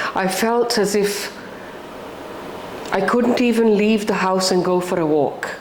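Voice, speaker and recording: The speech moves at a fairly slow pace with ordinary pitch variation, audible room echo and noticeable background noise. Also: woman. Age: 60s. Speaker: podcast guest, widowed mother. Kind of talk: personal interview conversation. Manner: halting, with false starts.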